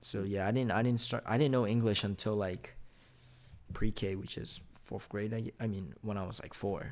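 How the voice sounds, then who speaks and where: A man speaks at a moderate pace and a fairly low pitch. His intonation is fairly even, on a very clean recording with a silent background. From United States, born to Chinese parents. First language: Chinese. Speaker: podcast guest. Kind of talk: casual chat.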